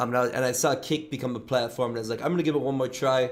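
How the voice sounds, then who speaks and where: Fairly even intonation marks this voice with an American accent. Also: man. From Michigan, US. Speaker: livestreamer. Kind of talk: casual chat. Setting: livestream.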